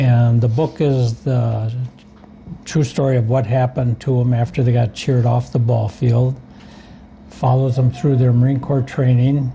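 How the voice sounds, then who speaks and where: At a moderate pace, a man with an American accent speaks at a medium pitch with very even loudness and a monotone, flat intonation. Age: 70s. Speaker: war veteran and author. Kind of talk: interview. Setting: coffee shop.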